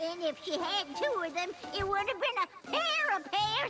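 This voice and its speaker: Over loud background noise, a cartoonish character voice in a Southern US accent moves at a moderate pace with very wide pitch swings. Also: woman, extremely high pitch for a woman. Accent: rural Southern American. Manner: feisty, folksy.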